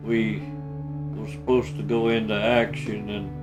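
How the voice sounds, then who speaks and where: A man with a fairly low pitch talks at a fairly slow pace, his pitch swinging very widely. Music plays in the background. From North Carolina. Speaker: war veteran. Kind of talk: interview answer.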